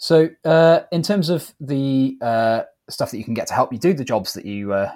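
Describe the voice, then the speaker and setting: Lively intonation at a moderate pace, in a plain, everyday voice. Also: man. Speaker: podcast co-host. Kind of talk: casual chat, game history.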